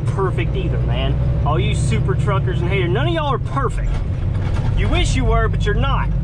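The speech moves at a fairly quick pace in a dry sound with no echo, over loud background noise. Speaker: truck driver vlogger. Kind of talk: casual vlog chat. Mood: mildly defensive, joking. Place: car. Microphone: camera far.

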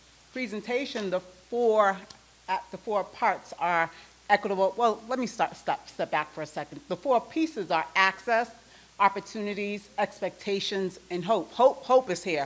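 A woman speaks at a moderate pace with ordinary pitch variation and big swings in loudness. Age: 40s. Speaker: nonprofit executive, keynote speaker; keynote speaker. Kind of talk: keynote speech. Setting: stage with audience. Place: hall. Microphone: podium.

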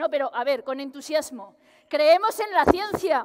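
At a very slow pace, a woman speaks in an extremely high pitch with very wide pitch swings. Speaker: researcher comedian. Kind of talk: stand-up science monologue. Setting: stage with audience. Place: hall.

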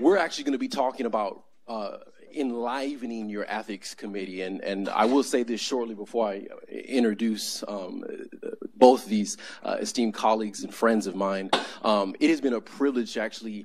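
Over light background noise, the voice moves at a moderate pace with ordinary pitch variation. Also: man. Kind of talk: conference introduction. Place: hall.

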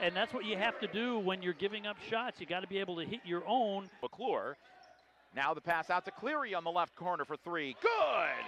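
A man with a high pitch speaks at a moderate pace with lively intonation. The sound is dry with no echo, though there is noticeable background noise. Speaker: color commentator. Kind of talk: live sports commentary. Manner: animated, upbeat. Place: stadium.

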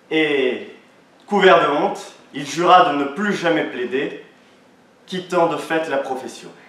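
A man with a high voice speaks very slowly, with ordinary pitch variation and long, frequent pauses, in a room with audible echo. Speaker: law student orator. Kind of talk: oratory contest speech; audience Q&A. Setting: stage with audience. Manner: declamatory. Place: hall. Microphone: camera far.

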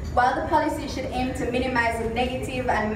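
Noticeable background noise and audible room echo surround a woman speaking with ordinary pitch variation. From Jamaica. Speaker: symposium moderator. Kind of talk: prepared speech. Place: hall. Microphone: camera far.

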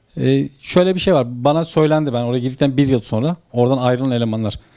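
With a dark, mellow tone, a man speaks at a fairly quick pace and ordinary pitch variation over a quiet background. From Turkey, Ordu (Aybastı); Turkey. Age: 30s. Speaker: former textile company manager, whistleblower; interviewee. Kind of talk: interview testimony. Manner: halting. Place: home room. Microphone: handheld.

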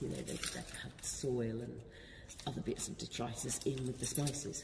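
A woman speaks at a fairly slow pace, with vocal fry in her voice.

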